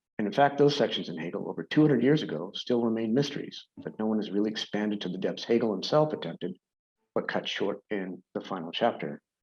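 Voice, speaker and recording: Talking very fast with lively intonation, a man with an American accent uses a fairly low pitch. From United States. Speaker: philosophy scholar. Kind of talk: conference talk; academic paper reading. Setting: video call.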